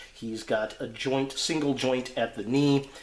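With audible room echo, a man speaks at a very slow pace and ordinary pitch variation. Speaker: toy reviewer. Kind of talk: product review commentary.

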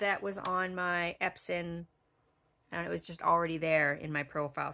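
The speaker is a woman with a bright, sharp tone. She keeps a moderate pace. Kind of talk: tutorial.

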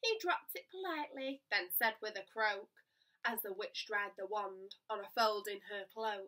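A woman's animated, sing-song voice with a bright, sharp tone, fairly high pitch, ordinary pitch variation, moderate pace and quiet background. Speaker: primary school teacher. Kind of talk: bedtime story reading aloud. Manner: animated, expressive; rhythmic, sing-song rhyming cadence. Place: home room. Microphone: phone near.

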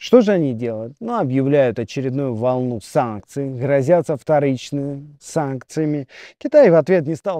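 A man's fairly high voice with a dark, mellow tone and ordinary pitch variation, at a moderate pace, dry with no echo over a quiet background. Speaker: agribusiness video blogger. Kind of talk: casual news commentary. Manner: animated. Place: garden.

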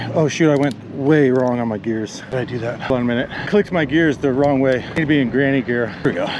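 Very fast speech from a man, with a dry sound and no echo, over noticeable background noise. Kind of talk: casual vlog chat. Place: bicycle. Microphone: camera far.

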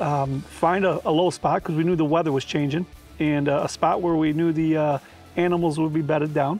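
Speech comes at a very fast pace with ordinary pitch variation, the sound dry with no echo and faint music in the background. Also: man. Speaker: guest. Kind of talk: interview answer. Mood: warm, reflective. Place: garden. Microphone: lapel.

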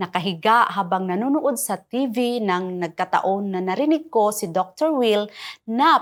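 Her voice is an unremarkable speaking voice, medium in pitch for a woman. She talks at a fairly slow pace with lively intonation. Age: 50s. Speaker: product testimonial giver. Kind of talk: scripted testimony.

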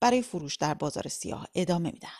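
This woman has a plain, everyday voice at a medium pitch. Her intonation is lively, and the background is quiet. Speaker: radio reporter. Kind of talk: news reading. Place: studio. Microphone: studio mic.

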